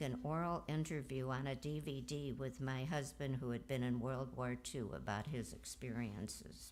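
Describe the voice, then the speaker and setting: A woman's very deep, low voice with vocal fry, ordinary pitch variation and a fairly slow pace. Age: 80s+. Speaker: eulogy speaker, cousin of the deceased. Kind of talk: eulogy at memorial service. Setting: memorial service.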